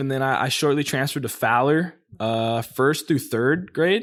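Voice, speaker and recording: A man talks at a moderate pace with an American accent. The recording is very clean, with a silent background. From Central California, Fresno area. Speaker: former college football player. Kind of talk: casual chat. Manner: halting.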